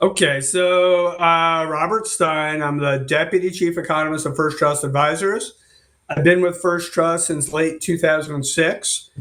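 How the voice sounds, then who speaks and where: A man speaks fairly slowly in a high, bright, sharp voice. His intonation stays fairly even. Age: 60s. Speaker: economist. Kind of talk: interview. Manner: casual, with many fillers.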